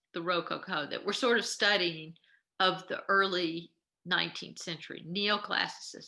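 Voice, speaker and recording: Over a quiet background, a woman with a bright, sharp tone talks at a fairly slow pace with ordinary pitch variation. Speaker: art history instructor. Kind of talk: lecture.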